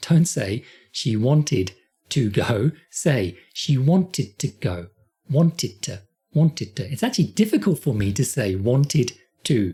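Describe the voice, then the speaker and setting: Long pauses come often in this speech with a British accent. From Britain. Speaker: English teacher. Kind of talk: tutorial. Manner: slow, deliberate repetition.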